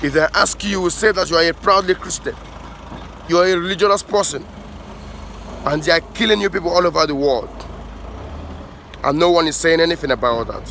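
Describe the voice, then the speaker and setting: With noticeable background noise behind him, a man speaks in a high, animated voice with ordinary pitch variation and long, frequent pauses. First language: an African language. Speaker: pan-African activist vlogger. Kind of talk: impassioned monologue. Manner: animated, with halting restarts.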